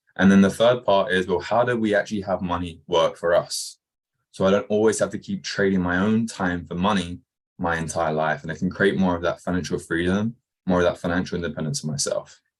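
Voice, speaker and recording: A man's very deep, low voice with an English accent, fairly quick in pace with ordinary pitch variation, over a quiet background. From England, Kent. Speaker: entrepreneur, former soccer coach. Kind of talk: interview.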